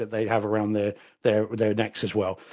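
A man speaks with an English accent and a fairly low pitch. He talks at a fairly quick pace against a quiet background. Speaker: lawyer. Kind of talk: casual chat.

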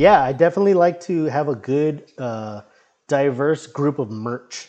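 With a dark, mellow tone and fairly high pitch, a man speaks at a fairly slow pace with lively intonation. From Brownsville, Texas (US-Mexico border). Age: 30s. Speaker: comic book writer and indie wrestler. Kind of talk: casual chat.

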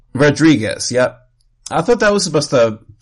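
A man talks at a moderate pace. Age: 40s. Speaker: podcast host. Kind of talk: casual chat.

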